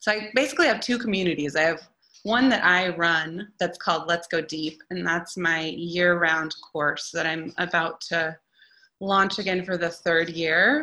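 Over a quiet background, a woman with an American accent speaks at a moderate pace in a fairly low pitch, her tone enthusiastic, bright and sharp, with ordinary pitch variation. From US Pacific Northwest, Oregon (Eugene). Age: 30s. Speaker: painter and art teacher. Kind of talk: interview monologue.

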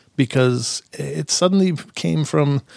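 A man with a fairly high pitch. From southeastern Minnesota. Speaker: podcast host. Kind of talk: casual interview chat. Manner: halting, many fillers and repeated words.

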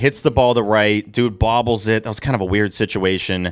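A man speaks at a moderate pace with an animated tone and medium pitch, on a very clean recording with a silent background. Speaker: podcast host. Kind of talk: casual sports podcast banter. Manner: animated, joking.

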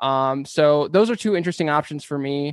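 A man speaks with a Californian accent at a fairly quick pace, his pitch fairly high. The sound is dry and close with no echo, over a quiet background. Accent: Californian American. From San Diego, California. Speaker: podcast creator. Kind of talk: interview. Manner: halting, many fillers.

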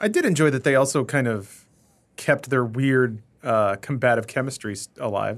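A man with a plain, everyday voice speaks at a moderate pace, his medium pitch showing ordinary variation. The recording is very clean, with a silent background. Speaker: podcast co-host. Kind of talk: casual chat. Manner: sarcastic, joking.

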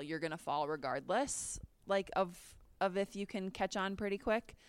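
A woman's ordinary speaking voice at a medium pitch, with an American accent, in a very clean recording with a silent background. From Minnesota. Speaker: sports TV reporter and analyst. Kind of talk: casual interview.

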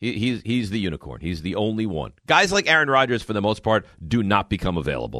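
Talking at a very fast pace with hardly any pauses, a man with a fairly low pitch, vocal fry, a bright, sharp tone and lively intonation is heard in a dry, close sound with no echo. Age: 40s. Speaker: sports radio host. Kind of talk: sports talk radio.

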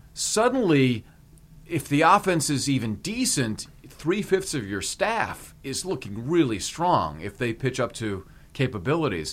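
A man speaks at a fairly high pitch with vocal fry. His pace is fairly slow and his pitch swings very widely. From Hawaii. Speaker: sports podcast host. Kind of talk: casual sports chat and interview.

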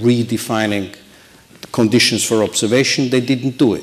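Over noticeable background noise, a man speaks in a medium pitch at a moderate pace. His intonation is fairly even. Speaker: diplomat and election observation official. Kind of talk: panel discussion. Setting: stage with audience.

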